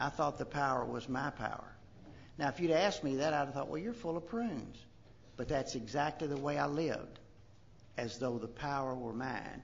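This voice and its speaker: A man with a Kentucky accent speaks at a moderate pace in a fairly high pitch, with vocal fry and ordinary pitch variation. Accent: Southern US (Kentucky). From US South, western Kentucky. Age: 60s. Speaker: recovery speaker, retired doctor. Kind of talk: recovery testimony.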